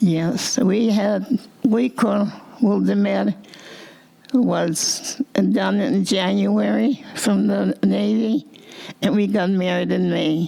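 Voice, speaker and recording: A woman talks at a very slow pace with long, frequent pauses and very even loudness. Noticeable background noise runs underneath. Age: 90s. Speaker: dress designer. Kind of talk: interview answer.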